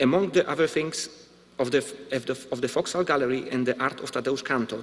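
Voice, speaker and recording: A man with a Polish accent. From Poland. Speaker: visual artist. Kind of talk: lecture. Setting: stage with audience. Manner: formal.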